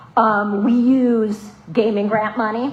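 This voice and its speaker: With an American accent, a woman speaks at a fairly high pitch. Noticeable background noise is present. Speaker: stormwater program coordinator presenting to a board. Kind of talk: public meeting presentation. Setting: municipal board meeting. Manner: fast.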